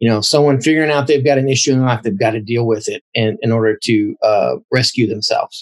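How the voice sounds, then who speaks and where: Light background noise sits behind a somewhat breathy man. He talks at a fairly quick pace with ordinary pitch variation. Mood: calm, explanatory. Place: home room. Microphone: video call.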